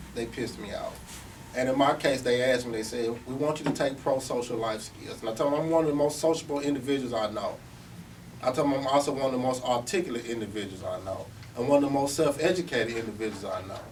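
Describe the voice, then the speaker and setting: The man's very fast speech comes through audible room echo and noticeable background noise. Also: medium pitch for a man, ordinary pitch variation. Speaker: formerly incarcerated speaker. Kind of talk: talk to service providers. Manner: animated.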